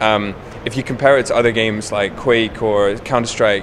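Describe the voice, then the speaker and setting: Someone talks at a fairly quick pace with an English accent over noticeable background noise. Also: man. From England. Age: 20s. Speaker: professional gamer, guild raid leader. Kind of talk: interview. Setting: gaming convention.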